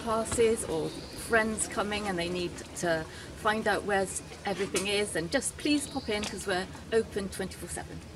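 A woman speaks at a medium pitch while noticeable background noise carries on behind her. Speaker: marina front-of-house staff presenter. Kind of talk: friendly scripted-style weather report. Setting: office at marina. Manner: warm, welcoming, chatty; casual, with filler ums. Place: waterside. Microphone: phone near.

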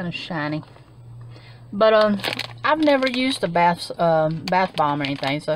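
Speaking at a fairly slow pace, a woman makes very wide pitch swings. The sound is dry with no echo, with light background noise. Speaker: haul vlogger. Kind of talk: casual vlog chat. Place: car. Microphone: phone near.

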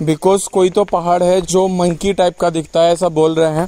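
At a moderate pace, a man with a high pitch speaks in a monotone, flat intonation, in a dry sound with no echo. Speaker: travel vlogger. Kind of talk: casual vlog chat. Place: forest. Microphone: phone near.

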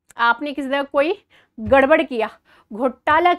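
Over a quiet background, a woman talks at a very slow pace in a high pitch. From India. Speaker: current affairs teacher for exam preparation. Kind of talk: lecture. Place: studio. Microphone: lapel.

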